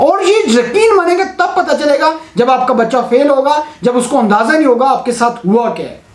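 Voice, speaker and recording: With noticeable background noise behind him, a man speaks at an extremely high pitch in an animated tone, his lively intonation flowing with hardly any pauses. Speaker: teacher and exam marker. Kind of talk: opinion vlog, appeal to authorities. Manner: animated, impassioned.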